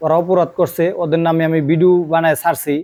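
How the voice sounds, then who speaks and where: On a very clean recording with a silent background, a man talks at a high pitch in a dark, mellow tone. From Bangladesh, Dhaka area. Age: 40s. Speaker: YouTuber and migrant worker. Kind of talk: vlog monologue. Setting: outdoors by the sea.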